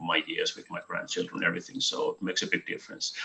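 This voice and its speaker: A man speaks with a Finnish accent over noticeable background noise. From Finland. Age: 50s. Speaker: business presenter. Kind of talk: online business presentation. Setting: video call. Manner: hesitant, many fillers.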